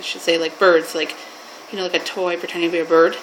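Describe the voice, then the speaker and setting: A woman with a Canadian accent speaks over noticeable background noise. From Canada. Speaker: mental health worker. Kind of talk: personal story telling. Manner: informal, halting.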